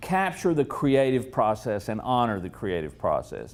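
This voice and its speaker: At a moderate pace, a man says his words. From US South, East Tennessee. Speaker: political media consultant. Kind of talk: speech. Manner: halting.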